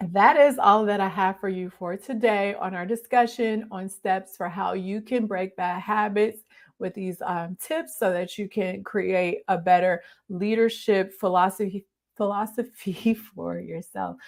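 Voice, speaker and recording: A raspy, put-on character voice moves at a moderate pace with big swings in loudness, captured in a very clean recording against a silent background. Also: woman, medium pitch for a woman. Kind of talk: casual, monologue, podcast-style. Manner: stumbling over words.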